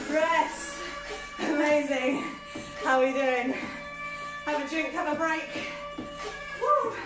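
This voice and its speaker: Clear music plays in the background as a woman speaks at a very slow pace. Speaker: workout instructor. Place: kitchen. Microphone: camera far.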